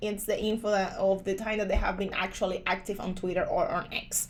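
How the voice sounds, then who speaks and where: A woman speaks with a Spanish accent. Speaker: crypto YouTuber. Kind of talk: screen-share tutorial review. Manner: casual with frequent fillers.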